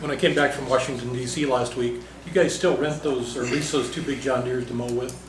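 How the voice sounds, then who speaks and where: A man with an Upper Midwest accent talks at a fairly quick pace and medium pitch, with fairly even intonation. Room echo is audible and background noise is noticeable. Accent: Upper Midwest American. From South Dakota, Yankton County. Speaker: county commissioner. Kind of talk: public meeting discussion. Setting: county commission meeting.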